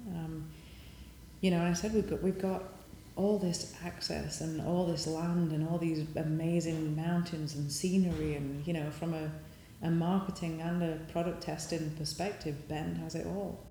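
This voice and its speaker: Someone with a Yorkshire accent speaks at a moderate pace over noticeable background noise. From northern England, Sheffield. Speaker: bike industry entrepreneur. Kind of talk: interview.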